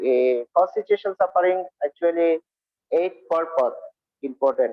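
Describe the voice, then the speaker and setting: A man with a Bengali accent, long and frequent pauses throughout. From India. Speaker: Buddhist monk and speaker. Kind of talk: dharma talk. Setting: video call. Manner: halting.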